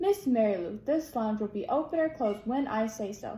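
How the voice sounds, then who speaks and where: A woman uses a gruff, put-on character voice at a fairly high pitch and a fairly quick pace. Clear background noise runs underneath. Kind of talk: formal, addressing her as Miss. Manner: arguing loudly.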